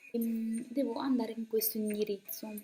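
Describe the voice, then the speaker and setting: Over music in the background, a woman speaks at a fairly high pitch. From Umbria, Terni. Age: 20s. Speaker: student and radio speaker. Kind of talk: casual video testimony.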